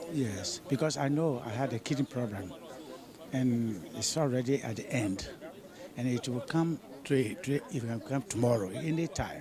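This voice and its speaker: Crowd noise sits in the background as a man speaks at a moderate pace. His pitch is medium, with ordinary variation. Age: 80s+. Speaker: retired doctor, protesting pensioner. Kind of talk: vox pop interview. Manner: halting, repetitive.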